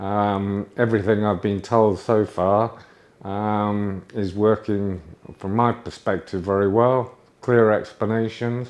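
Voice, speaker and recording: A man with a British accent, a fairly low pitch, monotone, flat intonation and a very slow pace. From UK. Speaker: patient. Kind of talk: testimony. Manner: halting, with fillers.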